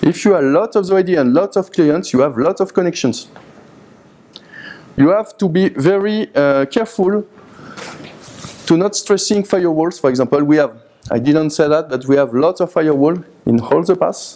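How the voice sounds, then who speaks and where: A man with a French accent talks at a moderate pace in a high voice, his intonation lively and his loudness very even. He pauses long and often, and background noise is noticeable. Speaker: university IT engineer, conference speaker. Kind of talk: conference presentation. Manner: halting, with many hesitations.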